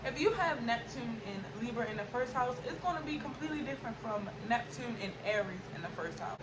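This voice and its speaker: There is audible room echo and noticeable background noise as a woman talks at a moderate pace, her fairly high pitch carried by lively intonation. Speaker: astrology YouTuber. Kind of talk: informal tutorial.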